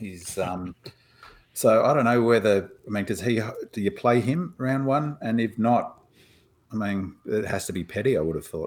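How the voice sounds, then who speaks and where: Here a man talks at a moderate pace, medium in pitch with ordinary pitch variation. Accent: Australian. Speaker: podcast co-host. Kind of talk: casual chat.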